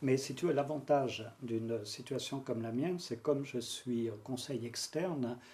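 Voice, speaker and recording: At a moderate pace, a man of medium pitch talks with fairly even intonation in a dark, mellow, somewhat breathy tone. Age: 60s. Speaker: brand strategy consultant. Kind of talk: casual interview. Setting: sofa interview. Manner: calm, phlegmatic.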